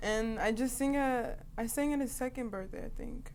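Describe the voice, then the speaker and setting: A woman talks in an American accent at a high pitch. Her intonation is fairly even, and there is audible room echo. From northern New Jersey. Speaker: singer. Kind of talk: interview.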